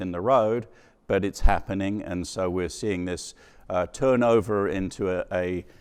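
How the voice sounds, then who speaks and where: Over a quiet background, a man with an English accent speaks at a very deep, low pitch with fairly even intonation. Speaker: company president giving conference keynote. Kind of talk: conference keynote talk.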